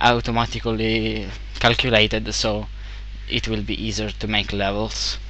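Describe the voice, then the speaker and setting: A man with an Italian accent talks at a moderate pace, with audible room echo and noticeable background noise. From Italy. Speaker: game developer. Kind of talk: tutorial. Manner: halting, many fillers.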